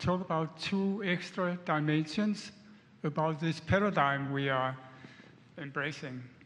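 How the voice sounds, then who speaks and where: The speech has fairly even intonation and very even loudness, with audible room echo. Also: man. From Denmark. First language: Danish. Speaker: audience member. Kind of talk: audience question. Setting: conference hall with handheld mic. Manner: halting.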